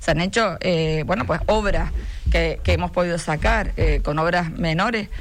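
Audible room echo surrounds a woman who speaks at a fairly slow pace with very even loudness. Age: 40s. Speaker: mayor and politician. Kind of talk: radio interview. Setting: radio studio.

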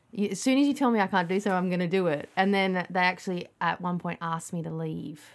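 Very fast speech with hardly any pauses from a woman with an Australian accent, on a very clean recording with a silent background. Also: medium pitch for a woman, ordinary pitch variation. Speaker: music producer and singer. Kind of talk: casual chat. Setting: outdoors, backyard hut.

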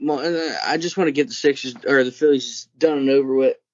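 With an unremarkable speaking voice, a man talks at a moderate pace, his pitch fairly high and ordinarily varied. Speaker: podcast host. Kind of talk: casual sports banter. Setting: video call.

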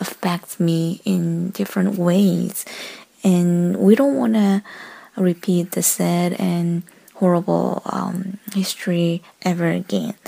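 A woman with a Korean accent speaks very slowly at a fairly low pitch, her tone dark and mellow and her pitch variation ordinary. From South Korea. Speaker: listener caller. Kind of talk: voicemail message. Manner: halting.

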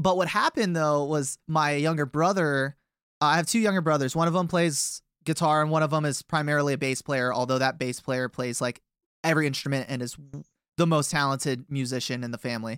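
The recording is very clean, with a silent background and a dry, close sound with no echo. A man with an ordinary speaking voice and fairly high pitch talks at a fairly quick pace with ordinary pitch variation. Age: 20s. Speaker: musician in a band. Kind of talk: casual interview.

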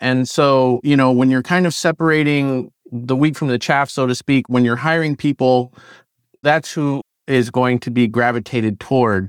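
In an unremarkable speaking voice, a man talks at a moderate pace and medium pitch with fairly even intonation, recorded very cleanly against a silent background with a dry, close sound and no echo. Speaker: alumni mentor, tech professional. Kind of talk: panel discussion.

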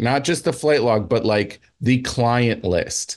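Against a quiet background, an unremarkable speaking voice moves at a moderate pace. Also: man. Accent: American. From New Jersey. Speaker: comedian. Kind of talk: casual chat.

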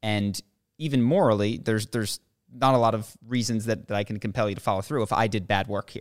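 Very fast and fairly even in intonation, a man at a medium pitch speaks with a dry, close sound and no echo on a very clean recording with a silent background. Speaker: podcast co-host. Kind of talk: casual chat.

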